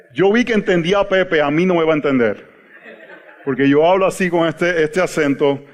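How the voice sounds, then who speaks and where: Here a man talks in a Puerto Rican accent at a high pitch. He moves at a fairly quick pace with ordinary pitch variation. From Puerto Rico. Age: 40s. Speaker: pastor. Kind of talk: teaching workshop talk. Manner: halting, repeats words.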